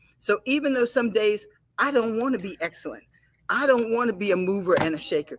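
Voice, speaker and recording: Here a woman with an unremarkable speaking voice talks at a fairly high pitch. Her pace is fairly quick and her intonation lively. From United States. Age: 60s. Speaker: show anchor and karate master. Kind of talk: casual talk show chat.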